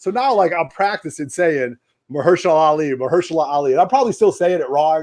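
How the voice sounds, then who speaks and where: A man talks at a very fast pace with a fairly high pitch. His tone is animated, his intonation lively, and the background is quiet. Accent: East Coast. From US East Coast. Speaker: comics show host. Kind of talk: casual chat. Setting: home basement livestream.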